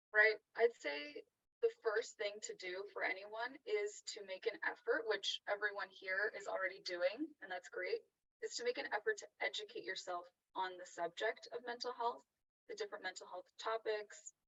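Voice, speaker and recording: A soft-spoken woman talks at a moderate pace with an American accent. Her loudness swings widely from moment to moment. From Los Angeles. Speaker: psychotherapist and author. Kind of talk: interview answer. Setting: video call. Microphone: echo, poor sound.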